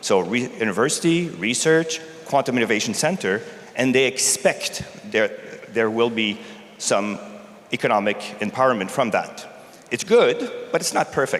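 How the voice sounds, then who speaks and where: Speaking with a Canadian accent, a man uses lively intonation at a medium pitch and a moderate pace, with long, frequent pauses over noticeable background noise. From Canada. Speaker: technology executive. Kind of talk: conference talk.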